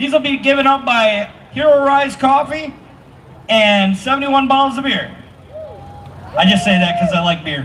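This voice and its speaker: Amid noticeable background noise, a man speaks loudly at a moderate pace with long, frequent pauses, his pitch extremely high for a man. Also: lively intonation. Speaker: event emcee. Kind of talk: crowd announcements. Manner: animated.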